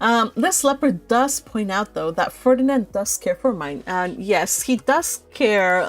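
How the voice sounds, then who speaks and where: A woman speaks at a fairly high pitch with an animated tone and very wide pitch swings. The recording is very clean, with a silent background. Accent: non-native. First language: not English. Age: 30s. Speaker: audiobook reader and live streamer. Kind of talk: casual chat with live viewers. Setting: live stream.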